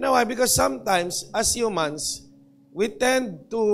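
The man's intonation is lively throughout. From Philippines. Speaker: pastor. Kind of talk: sermon. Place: church. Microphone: handheld.

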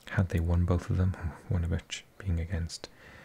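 Someone whispers in a soft-spoken, somewhat breathy way. The pace is fairly slow. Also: man. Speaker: ASMR football commentator. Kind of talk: ASMR season review. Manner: whispering, soft-spoken.

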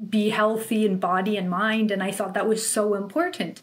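A woman in a Canadian accent talks with monotone, flat intonation. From Canada, of Polish farming family. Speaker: lawyer. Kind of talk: casual interview. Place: home room. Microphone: webcam.

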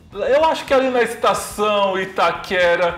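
Faint music plays in the background, and room echo is audible. A man talks at a very slow pace. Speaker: transit commentator. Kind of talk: commentary. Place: home room. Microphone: lapel.

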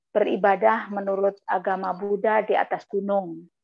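A woman at a fairly slow pace over faint background music. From East Java, Batu Malang; East Java. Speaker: guest. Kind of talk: testimony. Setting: video call. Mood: emotional, earnest storytelling. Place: home room. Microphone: earbuds.

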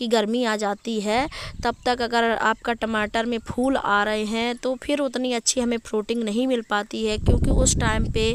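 The woman's intonation is monotone and flat. Her sound is dry with no echo, with light background noise. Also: fairly slow pace. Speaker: home gardener vlogger. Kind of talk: tutorial. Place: garden. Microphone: phone near.

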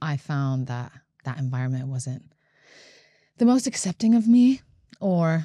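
A woman with a very deep, low voice and a dark, mellow tone speaks at a fairly slow pace with lively intonation, recorded dry with no echo against a quiet background. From Latvia. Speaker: singer-songwriter; guest. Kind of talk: interview. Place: studio. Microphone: studio mic.

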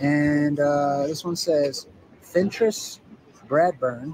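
A man speaks very slowly at a fairly high pitch with ordinary pitch variation. Background noise is noticeable. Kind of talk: on-location video narration.

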